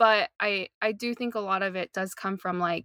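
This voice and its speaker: With an American accent, a woman speaks in a bright, sharp tone at a moderate pace with fairly even intonation, on a very clean recording with a silent background and a dry, close sound with no echo. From US South, North Carolina. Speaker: social justice advocate. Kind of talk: casual chat.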